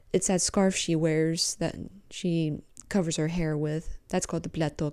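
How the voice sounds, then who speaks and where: A woman speaks at a moderate pace with a fairly low pitch and a dark, mellow tone. Her intonation is monotone and flat, and the recording is very clean with a silent background. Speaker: podcast host. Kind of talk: guided meditation; casual solo talk. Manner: soft-spoken.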